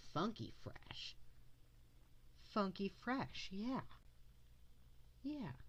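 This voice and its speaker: Somewhat breathy and fairly high in pitch, a woman speaks at a very slow pace with lively intonation. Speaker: art livestreamer. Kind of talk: casual livestream chat while drawing. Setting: livestream.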